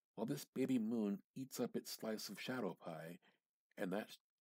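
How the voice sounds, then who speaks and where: A man's fairly low voice at a fairly slow pace, with ordinary pitch variation and a dry, close sound free of echo. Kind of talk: dramatic reading of a short story. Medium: read story.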